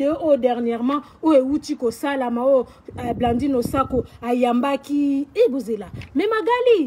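Her pitch high, a woman talks at a fairly quick pace. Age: 40s. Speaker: social media personality; vlogger. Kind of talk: personal video rant. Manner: animated. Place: garden.

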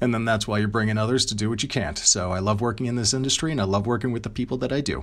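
A man's medium-pitched voice, very fast and with hardly any pauses, in fairly even intonation. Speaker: voice actor and content creator. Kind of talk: interview answers.

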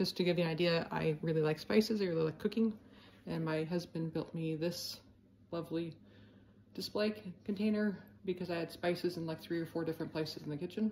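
Light background noise behind a woman's somewhat breathy, dark, mellow voice, fairly low in pitch, fairly quick, with fairly even intonation. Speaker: home cook vlogger. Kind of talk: casual vlog chat. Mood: calm, friendly. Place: kitchen. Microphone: phone near.

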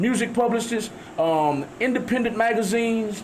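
A man with a Southern US accent at a fairly slow pace, over noticeable background noise. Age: 50s. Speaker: radio host. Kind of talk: casual chat. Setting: studio.

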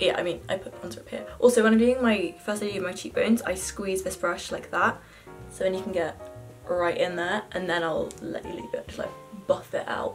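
Over faint music in the background, a woman talks at a fairly quick pace with big swings in loudness. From London, England. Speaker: university student. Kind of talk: casual makeup tutorial talk to camera. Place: home room. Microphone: phone near.

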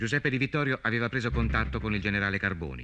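A very fast male voice, fairly low in pitch, bright and sharp in tone, with vocal fry. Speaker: documentary narrator. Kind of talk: scripted documentary narration.

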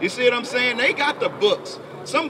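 A man's raised, projected voice at an extremely high pitch, with very wide pitch swings, over noticeable background noise. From Memphis, Tennessee; Tennessee. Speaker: street preacher. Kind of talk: street preaching with scripture reading. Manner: animated. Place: street. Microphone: handheld.

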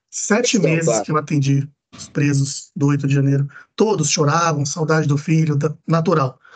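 A man speaks in a fairly high pitch, somewhat breathy. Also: ordinary pitch variation, moderate pace. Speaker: defense lawyer. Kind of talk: court hearing. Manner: formal.

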